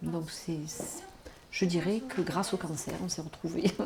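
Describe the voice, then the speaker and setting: Amid noticeable background noise, a woman speaks at a fairly slow pace in a fairly low pitch with ordinary pitch variation. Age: 60s. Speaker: retired nurse, cancer patient. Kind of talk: documentary testimony. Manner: halting, with many repetitions and hesitations.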